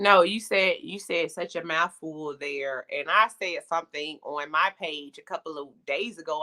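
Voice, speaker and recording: A woman with an American accent, fairly low in pitch, with ordinary pitch variation, a bright, sharp tone, a fairly slow pace, and a dry, close sound with no echo. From US South, Atlanta, Georgia. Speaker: podcast host. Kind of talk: panel discussion. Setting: live stream.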